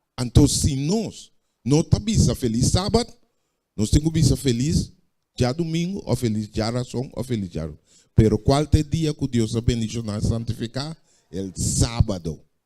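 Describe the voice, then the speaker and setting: Lively in intonation, a man speaks fairly slowly at a medium pitch with a dark, mellow tone. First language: Papiamento (speaking Spanish). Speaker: preacher. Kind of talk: sermon.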